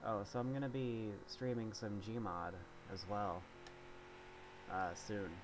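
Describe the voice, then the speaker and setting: A man speaks very slowly with long, frequent pauses. Noticeable background noise and audible room echo fill the recording. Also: fairly low pitch for a man, ordinary pitch variation. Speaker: gaming streamer. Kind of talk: gameplay commentary. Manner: casual, halting with fillers.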